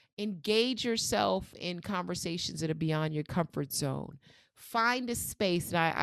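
In a New York accent, a woman talks with very deep, low pitch and lively intonation. Her pace is moderate, over a quiet background. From New York City. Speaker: researcher and author.

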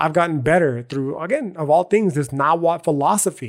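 A man with a fairly high pitch and an animated tone, on a very clean recording with a silent background. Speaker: podcast host. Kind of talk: casual rant, confessional monologue. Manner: animated, profane, slangy.

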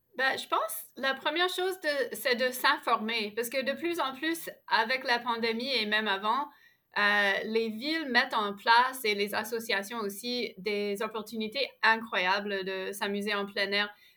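Fairly high in pitch, a woman with an unremarkable speaking voice talks at a fairly slow pace with ordinary pitch variation. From Ottawa, Canada. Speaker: outdoor program founder. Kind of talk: interview.

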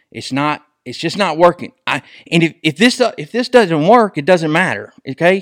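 Fairly high male voice in a Southern US accent at a moderate pace, dry and close with no echo, very clean recording with a silent background. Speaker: podcast host. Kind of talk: casual sports chat. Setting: studio.

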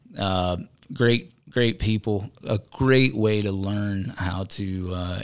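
A fairly low-pitched man with a Southern US accent and fairly even intonation, on a very clean recording with a silent background. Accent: Southern US (Georgia). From US South, rural Georgia. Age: 30s. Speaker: reality TV personality and bison rancher. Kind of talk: casual interview. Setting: studio.

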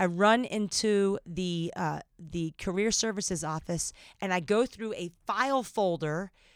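In a very clean recording with a silent background, a woman with a plain, everyday voice talks at medium pitch with ordinary pitch variation. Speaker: podcast host. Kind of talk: casual chat.

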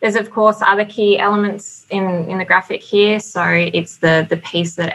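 A woman with a slight Australian accent in a medium pitch, with a bright, sharp tone, fairly even intonation and a fairly quick pace. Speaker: building consultant. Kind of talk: webinar presentation with slides. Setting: online webinar.

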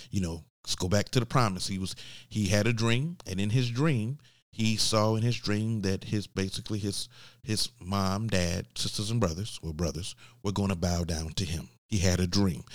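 This man has a Southern US accent and a fairly low pitch, talking at a moderate pace. The recording is very clean, with a silent background. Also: ordinary pitch variation. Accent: Southern US (Georgia). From US, Georgia. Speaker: podcast host. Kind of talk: faith-based business teaching monologue. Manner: conversational with filler words.

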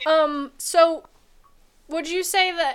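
Very slowly, a woman speaks with an American accent. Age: young. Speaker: podcast host. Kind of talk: casual chat. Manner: animated.

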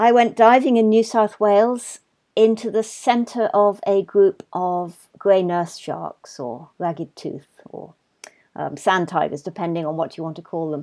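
Speaking with a southern English accent, a woman uses a medium pitch, a dark, mellow tone, lively intonation and big swings in loudness at a fairly slow pace. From England, London. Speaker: marine scientist. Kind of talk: casual interview chat. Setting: video call.

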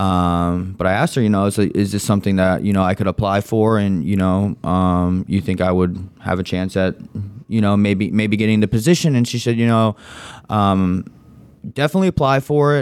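Using an ordinary speaking voice, a man speaks at a fairly low pitch with ordinary pitch variation and very even loudness. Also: fairly quick pace. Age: 20s. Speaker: nonprofit employee. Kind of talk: casual chat.

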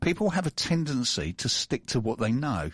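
Against a quiet background, a man speaks at a moderate pace with very wide pitch swings. The sound is dry and close, with no echo. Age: 60s. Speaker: business owner and radio host. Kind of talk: casual interview chat.

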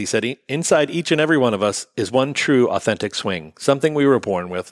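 A man talks at a very fast pace with lively intonation. The sound is dry and close with no echo, on a very clean recording with a silent background. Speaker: golf podcast host. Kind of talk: casual banter podcast chat. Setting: studio with live audience. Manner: chatty, joking.

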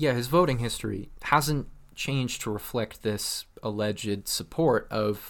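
On a very clean recording with a silent background, a man with a Canadian accent talks with ordinary pitch variation. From Alberta, Canada. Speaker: podcast co-host. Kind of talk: casual comedic chat.

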